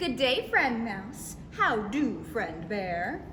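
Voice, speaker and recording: A female-sounding voice does a put-on character voice at a fairly high pitch and very slow pace. Background noise is clear. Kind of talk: bedtime story. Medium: read story.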